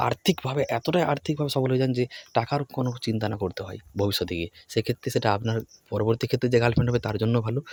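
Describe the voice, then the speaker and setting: Somewhat breathy and medium in pitch, a man speaks with ordinary pitch variation in a dry, close sound with no echo. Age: 20s. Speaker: education YouTuber. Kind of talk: motivational talk to camera.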